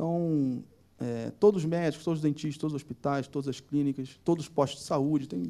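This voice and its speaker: Dark and mellow in tone, the voice moves at a fairly quick pace with ordinary pitch variation. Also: man, fairly high pitch for a man. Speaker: startup founder and CEO. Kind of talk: live panel interview. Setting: theater stage with audience.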